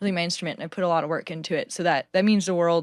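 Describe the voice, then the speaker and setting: A woman with an American accent, fairly low in pitch and fairly even in intonation, in a dry, close sound with no echo and a very clean recording, silent background. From Northern California. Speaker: singer-songwriter. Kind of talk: casual interview chat.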